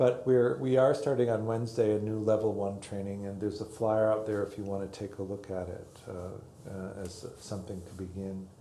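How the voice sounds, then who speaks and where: Audible room echo surrounds a man talking at a moderate pace with hardly any pauses. His intonation stays fairly even while his loudness swings widely. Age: 60s. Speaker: meditation teacher. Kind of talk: dharma talk. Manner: halting.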